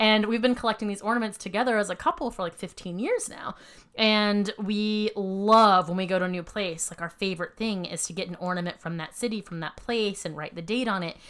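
A woman with an American accent speaks in an unremarkable speaking voice at medium pitch and a fairly quick pace, with ordinary pitch variation and hardly any pauses, on a very clean recording with a silent background. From US South, Savannah, Georgia. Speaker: podcast co-host, former improviser. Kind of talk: casual chat. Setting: home.

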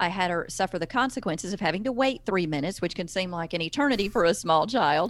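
Speaking with a Southern US accent, a woman rushes along at a very fast pace with lively intonation and hardly any pauses. The recording is very clean, with a silent background. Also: medium pitch for a woman. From US South. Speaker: parenting author and speaker. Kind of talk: interview.

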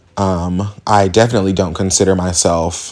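A man with an American accent, fairly low in pitch, at a fairly slow pace. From Indianapolis, Indiana, US Midwest. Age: 20s. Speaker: podcast host. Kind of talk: casual monologue. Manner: halting, many fillers.

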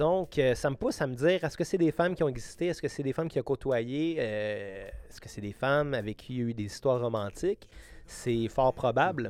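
A man with a Quebec accent, fairly high in pitch, lively in intonation and fairly quick in pace. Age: 30s. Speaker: musician. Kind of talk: casual interview.

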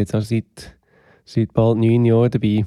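On a very clean recording with a silent background, a man talks at a moderate pace with a medium pitch and a dark, mellow tone, the sound dry and close with no echo. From Switzerland, Aargau (Möhlin). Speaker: drummer. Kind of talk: casual interview. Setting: home studio.

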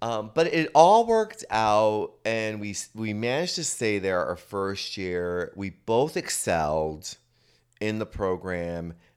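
In a very clean recording with a silent background, a man with an ordinary speaking voice talks at a fairly slow pace, his fairly low pitch carrying lively intonation. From New Jersey (Paterson), Puerto Rican family. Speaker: recovery center founder, former dancer. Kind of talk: casual interview.

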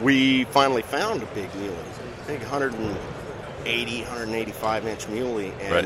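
A man talks at a medium pitch while noticeable background noise runs underneath. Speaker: bowhunting TV personality. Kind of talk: casual interview. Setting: trade show floor. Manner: jovial, laughs often.

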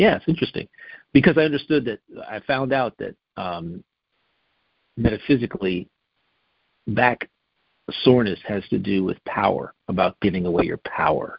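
At a moderate pace and medium pitch, a man speaks with long, frequent pauses, very wide pitch swings and big swings in loudness. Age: 60s. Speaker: wellness guest. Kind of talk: casual chat.

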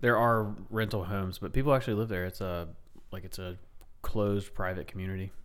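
A man with fairly low pitch and fairly even intonation, at a fairly quick pace, with big swings in loudness and audible room echo. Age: 30s. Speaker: military veteran. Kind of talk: casual chat.

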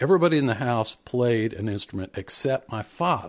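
With an American accent, a man at a medium pitch uses an ordinary speaking voice with lively intonation. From Indiana, US Midwest. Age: 50s. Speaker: podcast host, bluegrass musician. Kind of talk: casual chat. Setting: online call.

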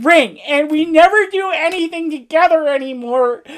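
Putting on a whiny character voice, a woman speaks in a high pitch with a whiny tone at a moderate pace. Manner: whiny, pouting.

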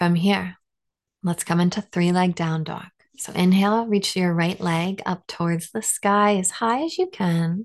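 In an unremarkable speaking voice, a woman talks fairly slowly at medium pitch with fairly even intonation. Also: quiet background. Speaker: yoga instructor. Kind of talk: guided yoga class instruction, cueing poses and breath step by step. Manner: slow, gentle and soothing, with unhurried pacing between breath cues; warm, reassuring and encouraging, nonjudgmental tone.

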